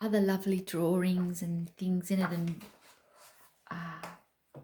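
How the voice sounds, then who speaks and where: A woman's medium-pitched, somewhat breathy voice, dark and mellow in tone, with monotone, flat intonation at a very slow pace. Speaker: craft vlogger. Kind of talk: casual chat.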